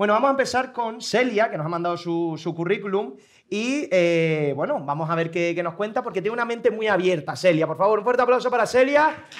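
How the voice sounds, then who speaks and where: Against a quiet background, a man with a high pitch speaks at a fairly quick pace, animated in tone and lively in intonation. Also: hardly any pauses. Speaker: show director; talk show host. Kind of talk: audience segment hosting; comedy show hosting. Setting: stage with audience. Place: stage. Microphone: lapel.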